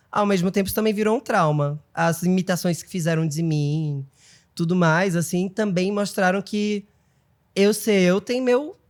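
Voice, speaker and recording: In a very clean recording with a silent background, a man with a high pitch speaks at a fairly slow pace with ordinary pitch variation. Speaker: TV journalist and presenter. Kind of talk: casual interview chat. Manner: effeminate.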